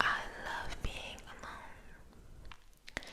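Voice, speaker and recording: Noticeable background noise fills the clip. Beneath it, a woman whispers. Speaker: ASMR creator. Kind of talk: poetry reading. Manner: soft-spoken, whispered.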